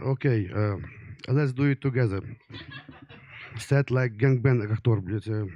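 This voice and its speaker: There is noticeable background noise as a man with a strong Ukrainian accent speaks at a moderate pace. His pitch is medium with ordinary variation, and he leaves long, frequent pauses. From Ukraine. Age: 30s. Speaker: comedian. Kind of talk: stand-up. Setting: stage with audience. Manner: halting.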